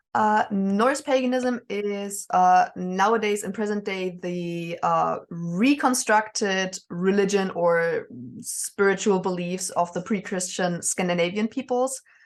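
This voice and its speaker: A woman with a slight German accent speaks at a very slow pace with hardly any pauses, at medium pitch with ordinary variation, over a quiet background. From northern Germany, near Danish border. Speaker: witch and Norse pagan. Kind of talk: interview. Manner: hesitant, many fillers.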